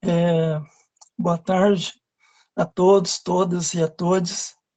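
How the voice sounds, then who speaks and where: Somewhat breathy, with a dark, mellow tone, a woman speaks at a fairly low pitch and a very slow pace in monotone, flat intonation. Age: 60s. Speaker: retired air force servicewoman. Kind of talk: interview. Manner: halting.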